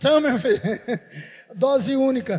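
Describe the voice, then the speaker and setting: This man's voice sits at an extremely high pitch, with ordinary pitch variation. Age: 60s. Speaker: pastor. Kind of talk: sermon. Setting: church.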